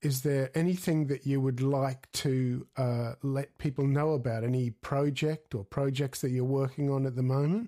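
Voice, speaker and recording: In an Australian accent, a man speaks with a fairly high pitch and a dark, mellow tone. The sound is dry and close with no echo. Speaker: guitarist and podcast host. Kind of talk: interview.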